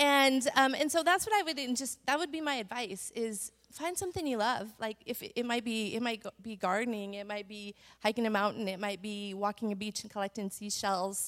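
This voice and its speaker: A woman talks in a normal speaking voice at a fairly quick pace with hardly any pauses. Her pitch is fairly high and her intonation lively. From Montana. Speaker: church women's panelist. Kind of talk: testimony.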